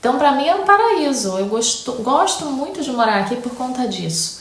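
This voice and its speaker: A woman speaks at a moderate pace with a Rio de Janeiro accent and a high pitch. Noticeable background noise runs beneath her voice. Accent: Carioca Brazilian Portuguese. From Rio de Janeiro, Brazil. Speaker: English teacher, YouTuber. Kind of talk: casual talk to camera, Q&A.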